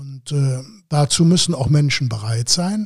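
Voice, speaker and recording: A man with a fairly high, somewhat breathy voice speaks at a very slow pace in a very clean recording with a silent background. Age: 60s. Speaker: local party politician. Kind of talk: interview. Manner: frequent filler hesitations.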